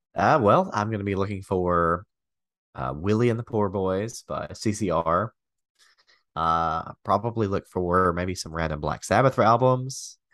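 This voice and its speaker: This man has an ordinary speaking voice and a fairly slow pace. The sound is dry and close with no echo, over a quiet background. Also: fairly low pitch for a man, ordinary pitch variation. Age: 30s. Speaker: wrestling podcast co-host. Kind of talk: casual chat. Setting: video call.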